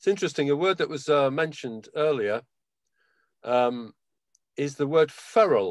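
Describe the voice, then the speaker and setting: With lively intonation and a fairly high pitch, a man talks at a moderate pace, leaving long, frequent pauses. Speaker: university drawing educator. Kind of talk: slide presentation. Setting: video call.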